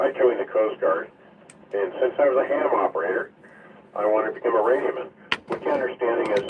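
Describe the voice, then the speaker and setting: A man speaks over noticeable background noise. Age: 70s. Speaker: ham radio net control operator. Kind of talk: ham radio net. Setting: radio transmission from home basement.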